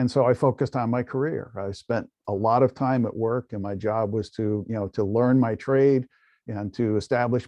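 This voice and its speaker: At a fairly quick pace, a man talks at medium pitch. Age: 60s. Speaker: podcast host and life coach. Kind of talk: casual interview conversation. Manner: energetic.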